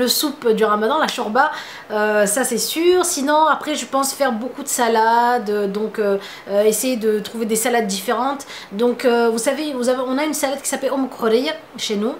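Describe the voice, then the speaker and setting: In a Tunisian accent, a woman talks at a high pitch with ordinary variation. Audible room echo and noticeable background noise fill the recording. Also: moderate pace. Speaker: beauty vlogger. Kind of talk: casual vlog Q&A. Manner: hesitant, many fillers.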